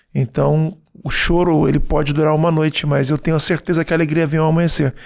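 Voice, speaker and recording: Speaking at a moderate pace, a man keeps a fairly high pitch and a monotone, flat intonation. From Brazil. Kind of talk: interview answers. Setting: in Florence before a concert.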